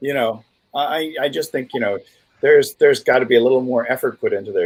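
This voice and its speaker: At a fairly quick pace, a man talks with a New England accent. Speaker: co-host of live stream. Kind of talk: casual chat.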